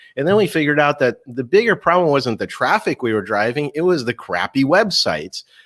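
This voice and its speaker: In a very clean recording with a silent background and a dry, close sound with no echo, a man talks at a moderate pace with a plain, everyday voice and lively intonation. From Russia (Moscow), moved to US at eight. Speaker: keynote speaker and marketing author. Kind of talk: interview.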